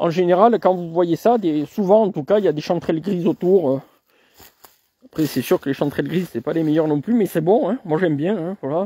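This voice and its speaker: A man's high-pitched voice has a dark, mellow tone and ordinary pitch variation. He moves at a fairly quick pace, in a dry, close sound with no echo. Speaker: nature photographer and vlogger. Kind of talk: live-stream walk commentary. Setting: outdoors in a forest. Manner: soft-spoken; casual, hesitant with fillers.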